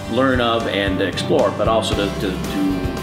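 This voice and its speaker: Clear music can be heard behind the speaker. The man talks fairly slowly. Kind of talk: interview answer. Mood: proud, warm. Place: cafe.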